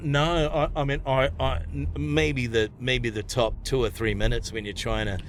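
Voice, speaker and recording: With a New Zealand accent and vocal fry, the voice makes very wide pitch swings and leaves hardly any pauses. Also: man, medium pitch for a man, moderate pace. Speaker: stand-up comedian. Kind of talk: casual chat. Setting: in a car.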